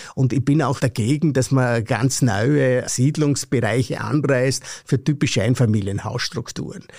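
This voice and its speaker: A man with a Vorarlberg accent talks at a fairly slow pace, somewhat breathy and with ordinary pitch variation. His loudness stays very even. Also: medium pitch for a man. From Austria, Vorarlberg. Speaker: professor of land policy. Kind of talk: interview.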